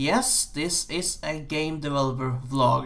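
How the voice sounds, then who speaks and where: A man speaks with an American accent. He keeps his intonation fairly even. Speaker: game programmer. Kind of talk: game dev vlog. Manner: halting, many fillers.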